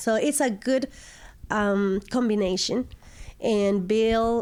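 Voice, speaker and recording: A woman speaks with a Mexican accent at a medium pitch. Her pace is very slow. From Mexico, Aguascalientes. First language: Spanish. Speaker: estate sale business owner. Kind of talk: interview.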